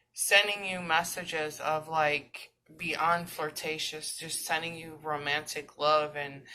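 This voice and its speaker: A woman with a very deep, low pitch and a bright, sharp tone, monotone and flat, very slow, with big swings in loudness. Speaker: tarot reader. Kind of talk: tarot reading.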